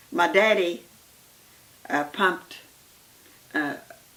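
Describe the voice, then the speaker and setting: Noticeable background noise sits behind a woman with a fairly low pitch. She talks at a fairly slow pace in an American accent. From Oklahoma. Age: 80s+. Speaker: grandmother telling her life story. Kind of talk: oral history interview. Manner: halting, many hesitations.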